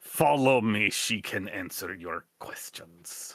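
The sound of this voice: In a put-on character voice, a man growls, gruff and at a very slow pace. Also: fairly low pitch for a man, lively intonation.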